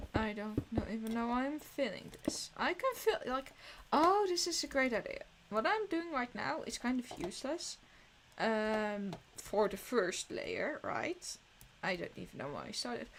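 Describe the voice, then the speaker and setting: Speaking fairly slowly with a Dutch accent, a woman's high voice makes very wide pitch swings. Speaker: streamer. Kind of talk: casual live-stream commentary while gaming. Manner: halting, with self-corrections.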